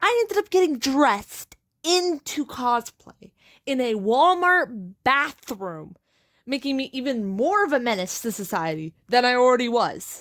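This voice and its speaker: A woman talks at a fairly slow pace in a high pitch with very wide pitch swings. The sound is dry and close, with no echo. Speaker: cosplayer vlogger. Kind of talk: voiceover narration.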